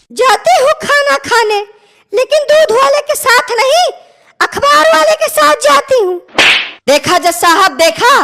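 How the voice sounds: A cartoonish character voice at an extremely high pitch, very wide pitch swings and a fairly slow pace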